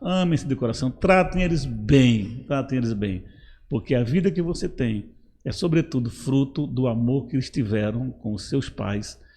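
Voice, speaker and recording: A man talks at a moderate pace with a dark, mellow tone. His voice is somewhat breathy and his pitch swings very widely. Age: 60s. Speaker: pastor. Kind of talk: advice talk in church podcast.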